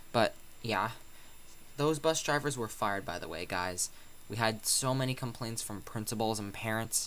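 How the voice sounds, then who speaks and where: Soft-spoken and medium in pitch, a man talks at a moderate pace. His pitch variation is ordinary. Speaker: YouTuber. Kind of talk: casual vlog monologue. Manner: quiet, soft-spoken; halting, many fillers.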